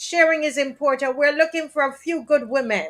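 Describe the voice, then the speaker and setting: A high-pitched woman's voice in a Jamaican accent, at a moderate pace. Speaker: talk show host. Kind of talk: live stream talk show. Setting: live stream.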